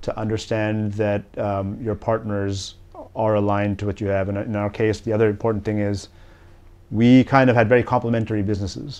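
Very fast delivery comes from a man whose pitch is fairly low. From grew up in many countries, family from Bangladesh. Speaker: company CEO and co-founder. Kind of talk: interview. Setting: studio. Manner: hesitant, many fillers.

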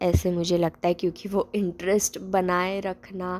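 A woman speaks here. The recording is very clean and the background silent. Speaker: podcast host. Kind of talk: casual monologue. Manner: hesitant, many pauses.

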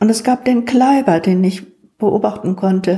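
Very slow speech from a woman. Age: 70s. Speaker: retired school principal. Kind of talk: life-story interview.

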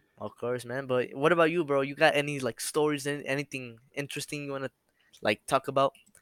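A man with a fairly high pitch speaks very fast and with fairly even intonation, his voice dry and close with no echo on a very clean recording over a silent background. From US, Mexican-American family. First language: bilingual English and Spanish. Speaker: podcast host. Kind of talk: casual chat. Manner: halting.

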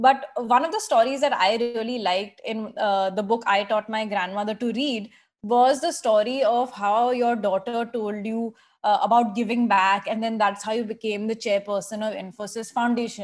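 A woman with a normal speaking voice talks at a fairly high pitch with fairly even intonation over a quiet background. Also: moderate pace. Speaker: podcast host and editor. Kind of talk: interview.

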